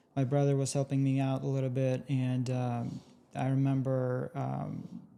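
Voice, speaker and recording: This man's intonation is monotone and flat, with a Russian accent. His tone is dark and mellow. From Russia, moved to US at fourteen. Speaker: tech entrepreneur. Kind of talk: interview.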